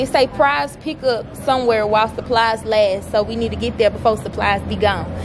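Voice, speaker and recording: A woman talks at a fairly quick pace over noticeable background noise. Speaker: college student vlogger. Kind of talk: casual vlog chat. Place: street. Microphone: phone near.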